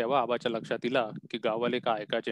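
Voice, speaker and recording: The speaker is a man. His voice sounds dry and close, with no echo at all. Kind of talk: story reading.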